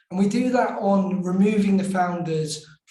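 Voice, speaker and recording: A man speaks at a high pitch with fairly even intonation. Audible room echo follows his voice. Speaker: startup founder. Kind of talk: panel interview.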